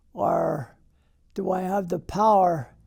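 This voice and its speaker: Over music in the background, a man with an American accent speaks in a high voice. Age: 80s+. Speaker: war veteran. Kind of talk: interview answer.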